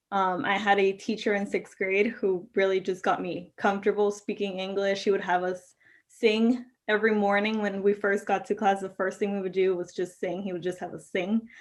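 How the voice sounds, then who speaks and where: Against a quiet background, a woman speaks with a Spanish accent. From Mexico. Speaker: law school graduate. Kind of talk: interview.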